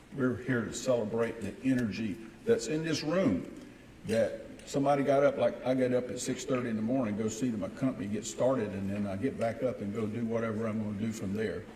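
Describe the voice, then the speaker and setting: In an American accent, a man talks at a fairly quick pace with audible room echo. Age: 60s. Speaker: business owner and mayor. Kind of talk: welcome speech. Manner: animated.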